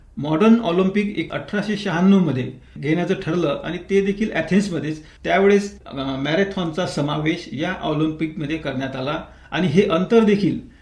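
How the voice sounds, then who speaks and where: Noticeable background noise sits behind a man's voice. His pitch is high, with ordinary variation. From Vidarbha, Maharashtra (Amravati district). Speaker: retired tax official and marathon runner. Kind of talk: radio interview. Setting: radio studio.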